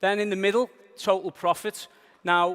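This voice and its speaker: Speaking at a moderate pace, a man with a Liverpool accent keeps his intonation fairly even. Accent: Liverpool (Scouse). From northern England, Liverpool. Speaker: business trainer. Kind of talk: seminar presentation. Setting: stage with audience.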